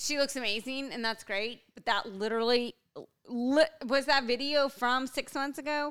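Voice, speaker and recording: A woman's high voice with fairly even intonation, a moderate pace and big swings in loudness. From US, Mexican-American heritage. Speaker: podcast co-host. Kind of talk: casual chat. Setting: home recording.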